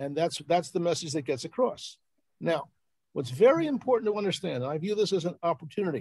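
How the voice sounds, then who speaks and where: Very fast and lively, a man with a high pitch and a dark, mellow tone speaks over a quiet background, with a dry sound and no echo. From Philadelphia, US. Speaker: journalist and researcher; journalist. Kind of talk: presentation on a live video call. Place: home room. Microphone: video call.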